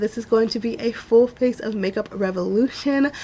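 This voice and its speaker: The woman's voice is fairly high with fairly even intonation, and noticeable background noise is present throughout. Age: 20s. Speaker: beauty vlogger. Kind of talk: tutorial. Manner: casual, chatty.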